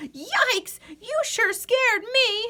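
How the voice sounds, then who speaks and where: A woman puts on a squeaky character voice. It sits at an extremely high pitch. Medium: read story.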